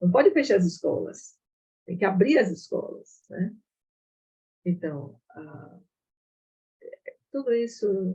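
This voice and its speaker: A woman's fairly low, somewhat breathy voice with a dark, mellow tone at a fairly slow pace. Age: 70s. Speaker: retired nutrition professor. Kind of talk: online talk discussion.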